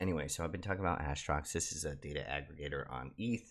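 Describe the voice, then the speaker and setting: In a very clean recording with a silent background, a man talks quietly at a very fast pace, using a very deep, low pitch with vocal fry and ordinary pitch variation. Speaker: crypto YouTuber. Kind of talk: casual commentary video. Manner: quiet, low voice; hesitant, many fillers.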